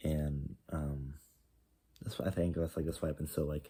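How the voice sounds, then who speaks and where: A man speaks with a very deep, low voice and a dark, mellow tone. His intonation stays fairly even at a fairly quick pace. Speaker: vlogger. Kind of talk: casual video diary monologue. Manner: halting, many fillers and restarts; loud.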